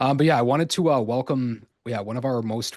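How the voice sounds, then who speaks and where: Using an unremarkable speaking voice, a man with a Canadian accent speaks at medium pitch and a fairly quick pace. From Canada. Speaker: podcast host. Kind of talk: interview. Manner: casual, filler-heavy.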